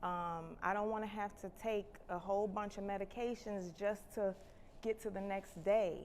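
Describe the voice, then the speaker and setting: A woman speaks at a fairly slow pace with medium pitch and fairly even intonation. It is a plain, everyday voice. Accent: American. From Chicago. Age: 30s. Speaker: nurse and health education host. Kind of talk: livestream health talk. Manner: casual, conversational.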